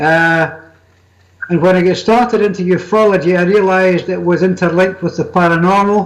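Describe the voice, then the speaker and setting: A man's high-pitched voice with a Scottish accent, flat and monotone, at a moderate pace. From Scotland. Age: 70s. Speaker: magazine editor and paranormal author. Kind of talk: interview.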